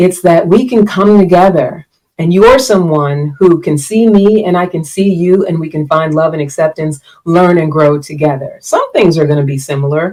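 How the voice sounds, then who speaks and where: This woman has an unremarkable speaking voice, pitched fairly low. She talks at a moderate pace. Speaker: relationship coach and podcast host. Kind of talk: live-streamed solo talk. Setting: live stream.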